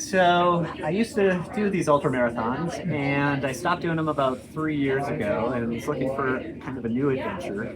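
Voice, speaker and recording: Someone with an American accent speaks at a moderate pace with hardly any pauses. There is noticeable background noise. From Virginia, US. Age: 60s. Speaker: hiker, former ultramarathoner. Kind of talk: casual interview.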